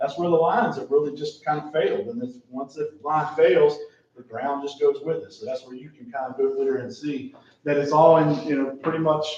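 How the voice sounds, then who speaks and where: Pitched fairly high, a man talks at a fairly quick pace with ordinary pitch variation and big swings in loudness. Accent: American. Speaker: town staff presenting a plan. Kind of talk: council meeting presentation. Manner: fast.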